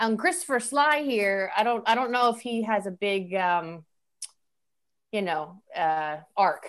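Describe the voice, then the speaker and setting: A woman speaks in a normal speaking voice with an American accent, her fairly high pitch carried by lively intonation at a fairly slow pace. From Louisiana, US South. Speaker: actor. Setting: remote recording.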